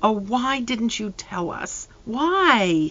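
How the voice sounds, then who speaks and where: A woman's put-on character voice, fairly high and shaky, with very wide pitch swings. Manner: quivering, tearful.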